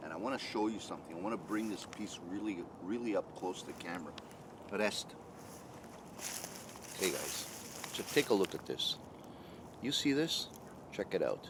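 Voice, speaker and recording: A man's fairly low voice, with ordinary pitch variation, moves at a moderate pace beneath noticeable background noise. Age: 60s. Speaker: bushcraft YouTuber, retired food industry worker. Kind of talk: product review. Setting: filmed on camera. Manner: casual, with many fillers.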